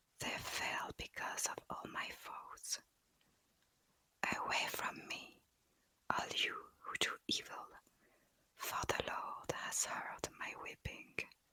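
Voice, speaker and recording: Whispering at a very slow pace, a woman leaves long, frequent pauses. Noticeable background noise is heard. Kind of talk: scripture reading. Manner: whispered, soft-spoken.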